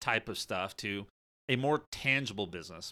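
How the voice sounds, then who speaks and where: A man with an American accent speaks at a fairly quick pace in a bright, sharp tone with ordinary pitch variation. The recording is very clean, with a silent background. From US coal-mining region. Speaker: self-help podcast host. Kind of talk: solo podcast monologue.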